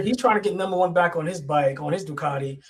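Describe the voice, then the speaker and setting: A man with a New York accent, a very fast pace and ordinary pitch variation. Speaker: motorsport podcast co-host. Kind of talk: casual chat.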